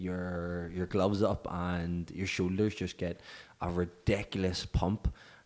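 On a very clean recording with a silent background, a man with a Northern Irish accent talks fairly slowly in a very deep, low voice. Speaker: fitness coach. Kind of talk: solo podcast monologue. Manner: casual, filler-heavy.

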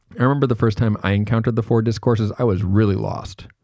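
On a very clean recording with a silent background, a man with an American accent talks at a very fast pace, his fairly low pitch showing ordinary variation and a dark, mellow tone. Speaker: university lecturer. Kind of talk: recorded lecture. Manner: casual, conversational.

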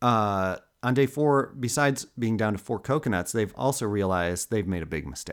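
On a very clean recording with a silent background, a man with a normal speaking voice and medium pitch speaks at a moderate pace. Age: 40s. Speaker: podcast co-host. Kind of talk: casual storytelling chat.

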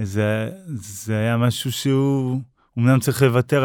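The recording is very clean, with a silent background. A man speaks in an unremarkable speaking voice. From northern Israel, Upper Galilee. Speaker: motivational speaker and amputee marathon runner. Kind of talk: interview telling personal story.

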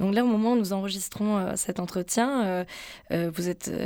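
On a very clean recording with a silent background, a woman speaks fairly slowly at a medium pitch with fairly even intonation. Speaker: radio host. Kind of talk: radio interview. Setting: radio studio.

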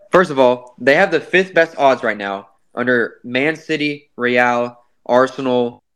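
Here is a man with a plain, everyday voice and ordinary pitch variation. He speaks at a fairly slow pace against a quiet background. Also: medium pitch for a man. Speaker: sports podcast host. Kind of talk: casual sports chat.

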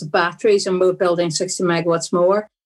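On a very clean recording with a silent background, a woman speaks with a strong Derry accent. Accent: Northern Irish (Derry), strong. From Derry, Northern Ireland. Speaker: energy industry director and professor. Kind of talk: casual interview conversation.

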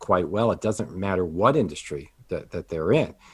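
A man with a normal speaking voice at a fairly quick pace. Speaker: financial advisor and business coach. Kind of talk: casual interview chat.

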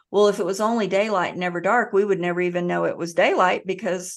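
A woman with an American accent talks at a very fast pace, with hardly any pauses. Her pitch is medium and her intonation fairly even. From US South. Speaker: author and hypnotherapist. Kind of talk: podcast interview.

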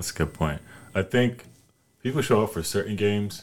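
The intonation is lively. The speaker has an American accent. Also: man. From US South, North Carolina. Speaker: college basketball player. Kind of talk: casual chat.

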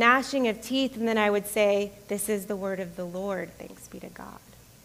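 The speaker is a woman with an American accent. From US South (Florida and Georgia). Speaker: pastor. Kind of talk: sermon. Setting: church.

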